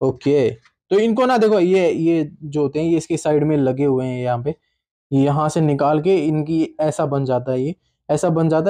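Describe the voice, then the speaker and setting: A man's fairly high voice with a dark, mellow tone, at a moderate pace over a quiet background. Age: 20s. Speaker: toy unboxing YouTuber. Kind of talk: casual unboxing video. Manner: animated. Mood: nostalgic, cheerful. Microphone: phone near.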